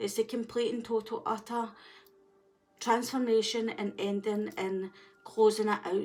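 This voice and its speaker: With a strong Scottish accent, a woman speaks at a moderate pace in a fairly high, monotone, flat voice. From Scotland. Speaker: tarot reader. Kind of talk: tarot reading.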